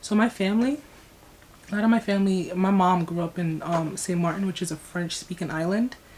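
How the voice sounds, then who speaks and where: With an American accent, a woman at medium pitch speaks at a moderate pace, somewhat breathy, with ordinary pitch variation. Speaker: YouTuber. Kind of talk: casual vlog reaction. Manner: rambling, long-winded.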